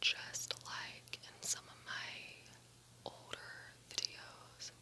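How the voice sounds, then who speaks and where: Whispering and soft-spoken, a woman talks at a very slow pace over light background noise. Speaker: vlogger. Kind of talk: casual vlog chat. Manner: soft ASMR whisper close to mic. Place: home room. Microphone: phone near.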